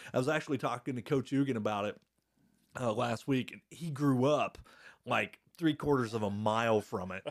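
A man with a Midwestern American accent speaks at a moderate pace in a medium pitch with ordinary pitch variation, on a very clean recording with a silent background. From Indiana, Blackford County. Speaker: podcast host. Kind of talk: casual chat. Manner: talkative.

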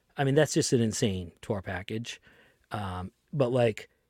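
Recorded very clean against a silent background, dry and close with no echo, a man with a Boston accent speaks in a dark, mellow tone at medium pitch with ordinary variation. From Lynn, Massachusetts (Boston area). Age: 30s. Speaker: tour manager and podcast host. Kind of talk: casual chat.

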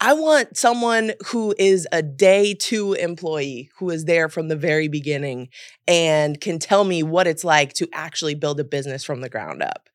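A woman with an American accent has a plain, everyday voice at a fairly low pitch, with lively intonation. She keeps a moderate pace with hardly any pauses on a very clean recording with a silent background. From US, mixed (California, Miami, Memphis). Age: 30s. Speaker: journalist and producer. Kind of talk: casual interview chat.

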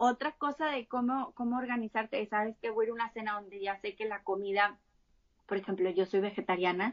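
Delivered at a fairly quick pace, this is an unremarkable speaking voice with ordinary pitch variation. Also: woman, fairly high pitch for a woman. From Mexico, Monterrey. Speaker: health coach and plant-based chef. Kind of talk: interview conversation.

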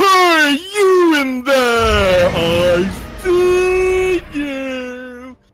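This put-on character voice is high-pitched with very wide pitch swings. The pace is very slow.

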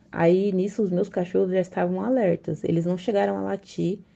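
At a moderate pace, a woman speaks with an unremarkable speaking voice pitched fairly low. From São Paulo, Brazil. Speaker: listener sharing a story. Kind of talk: recorded personal story.

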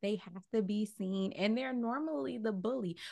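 A woman with a plain, everyday voice talks at a moderate pace with a fairly high pitch and ordinary pitch variation. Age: 30s. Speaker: podcaster. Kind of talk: casual chat.

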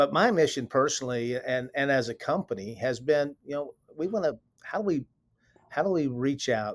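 Recorded dry and close with no echo, a man talks at a medium pitch. His intonation is lively. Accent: Texan. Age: 60s. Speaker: company president. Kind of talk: interview.

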